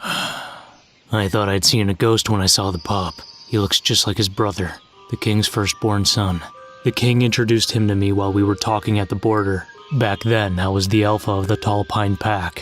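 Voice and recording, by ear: In a cartoonish character voice, a man speaks at a moderate pace and fairly low pitch while faint music plays in the background.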